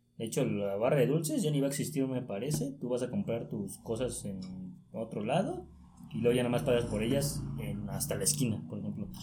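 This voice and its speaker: A man talks at a fairly quick pace with very wide pitch swings. Music plays in the background, and the room echo is audible. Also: medium pitch for a man. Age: 20s. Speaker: journalism student and sports writer. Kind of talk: casual chat.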